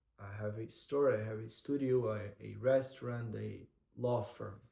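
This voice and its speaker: A man speaks with a non-native accent in a dark, mellow tone that is somewhat breathy. His intonation stays monotone and flat. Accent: non-native English accent, noticeable. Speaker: content creator. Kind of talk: vlog-style monologue to camera. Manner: hesitant, with repetitions and false starts.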